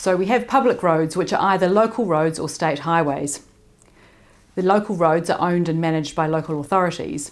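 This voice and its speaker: A woman with a New Zealand accent, fairly low pitch, ordinary pitch variation and a fairly quick pace, with audible room echo. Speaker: public works engineering association president. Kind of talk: conference presentation. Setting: remote recorded talk.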